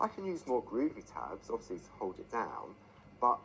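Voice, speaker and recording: This is a man speaking. His pace is fairly slow. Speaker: craft product demonstrator. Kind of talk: live craft demonstration.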